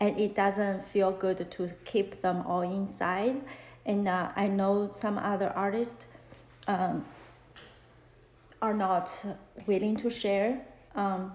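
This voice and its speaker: In a Chinese accent, a woman of medium pitch speaks at a very slow pace with long, frequent pauses, fairly even intonation and very even loudness, with audible room echo. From China. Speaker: fashion illustrator and art teacher; art teacher. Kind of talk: live-stream Q&A chat. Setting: Instagram live stream. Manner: halting, many fillers. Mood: open, reflective, a bit shy. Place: home room. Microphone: phone near.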